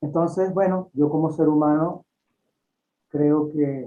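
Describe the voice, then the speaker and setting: Here a man talks fairly slowly. His pitch doesn't move much, staying fairly even. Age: 60s. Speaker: holistic doctor and author. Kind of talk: interview.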